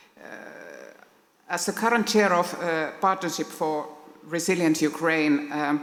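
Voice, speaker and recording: A woman with a Finnish accent, fairly low pitch, ordinary pitch variation, a fairly slow pace and long, frequent pauses. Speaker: diplomat. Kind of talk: formal speech read from notes. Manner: halting.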